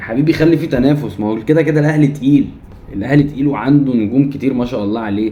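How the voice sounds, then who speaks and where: A man speaks at a very fast pace and medium pitch, his tone animated and his intonation lively. Audible room echo is present. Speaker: football commentary YouTuber. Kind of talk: opinion rant to camera. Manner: heated, animated.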